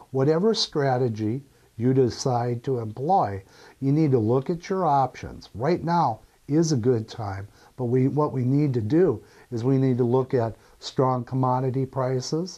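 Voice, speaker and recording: Over a quiet background, a man speaks in a dark, mellow tone at medium pitch. His pace is fairly slow, with ordinary pitch variation. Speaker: real estate broker and auctioneer. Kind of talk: corporate narration, informational talk to camera.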